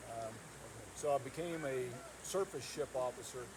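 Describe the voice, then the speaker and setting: Against noticeable background noise, a man with a North Georgia accent speaks at a fairly high pitch. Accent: Southern US (North Georgia). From US South, North Georgia. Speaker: county commissioner, retired naval officer. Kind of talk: public talk at a meet and greet. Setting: home gathering with audience.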